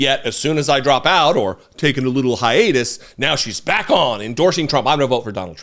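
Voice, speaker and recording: Talking at a fairly quick pace with hardly any pauses, a man with a plain, everyday voice uses a medium pitch and lively intonation. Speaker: political commentator. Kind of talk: casual talk to camera.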